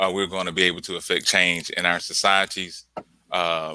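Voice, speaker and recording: In a Mississippi Delta accent, a man talks at a moderate pace, his very deep, low voice flat and monotone. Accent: Southern US, Mississippi Delta. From US South, Clarksdale, Mississippi. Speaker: artist. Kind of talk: casual interview. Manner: halting, many fillers.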